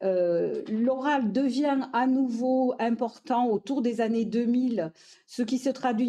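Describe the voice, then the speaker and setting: A woman with a fairly high pitch and a dark, mellow tone, ordinary pitch variation, and a quiet background. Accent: Toulouse. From southern France, Toulouse. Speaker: education professor, researcher. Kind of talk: lecture. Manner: hesitant, many fillers.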